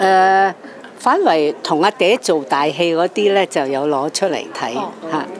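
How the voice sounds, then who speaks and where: A woman talks with a fairly low pitch. Noticeable background noise is present. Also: ordinary pitch variation. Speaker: Cantonese opera actress. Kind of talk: press interview answer.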